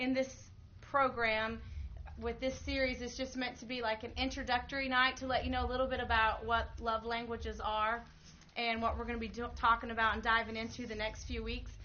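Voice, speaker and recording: Audible room echo carries a woman's fairly high-pitched voice as she speaks at a moderate pace in a monotone, flat intonation. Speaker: pastor's wife leading a marriage class. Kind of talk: church class teaching.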